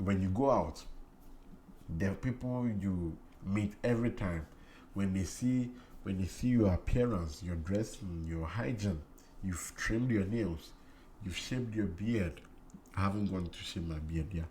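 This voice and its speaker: With long, frequent pauses, a man speaks at a fairly slow pace in a fairly low, somewhat breathy voice that has a dark, mellow tone and ordinary pitch variation. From Ghana. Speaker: cleaning YouTuber. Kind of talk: casual vlog talk. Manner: repetitive, halting.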